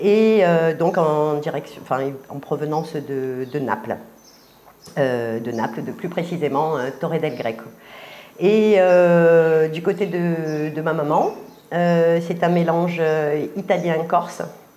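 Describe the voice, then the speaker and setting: This woman, with a Marseille accent, speaks very slowly at a fairly low pitch with ordinary pitch variation. Noticeable background noise and audible room echo fill the recording. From Marseille, southern France. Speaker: artist. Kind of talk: interview. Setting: filmed interview at exhibition. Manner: halting, many hesitations.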